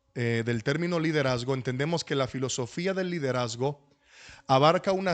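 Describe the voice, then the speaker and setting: In a Dominican accent, a man speaks against a quiet background, his pitch fairly high with ordinary variation. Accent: Dominican, lingering. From Dominican Republic. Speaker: pastor. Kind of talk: lecture.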